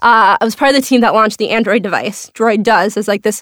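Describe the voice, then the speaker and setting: A woman's fairly high voice at a fairly quick pace, with a slight Minnesota accent, in a dry, close recording with no echo. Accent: slight Minnesota accent on some words. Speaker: venture capitalist. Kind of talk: interview.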